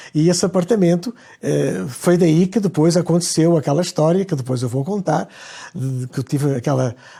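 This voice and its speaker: Moving at a moderate pace, a man speaks with a fairly high pitch, a dark, mellow tone and ordinary pitch variation. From Portugal, Lisbon. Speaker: conductor. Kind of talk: interview. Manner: halting.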